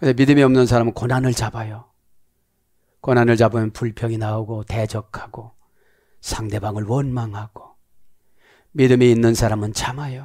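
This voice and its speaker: Against a quiet background, a man with a dark, mellow tone speaks at a moderate pace, leaving long, frequent pauses. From South Korea. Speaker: pastor. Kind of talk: sermon. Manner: animated, preaching. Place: studio. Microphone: headset.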